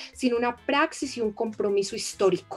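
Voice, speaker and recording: A woman talks in an unremarkable speaking voice. Her fairly high pitch shifts in an ordinary way. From Colombia. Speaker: theologian. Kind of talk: live interview conversation. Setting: live stream.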